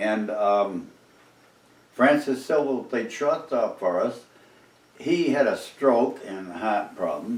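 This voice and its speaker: A man with an eastern New England accent talks very slowly at a medium pitch with lively intonation. The room echo is audible. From Cape Cod, Massachusetts. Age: 80s+. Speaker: oral history interviewee. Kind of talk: oral history interview storytelling. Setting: living room. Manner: animated.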